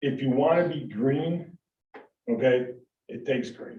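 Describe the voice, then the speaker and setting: Somewhat breathy and with an American accent, a man talks at a fairly slow pace with lively intonation. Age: 60s. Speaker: waste hauling business owner. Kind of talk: public meeting presentation. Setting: town board meeting room. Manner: halting, many repetitions and fillers.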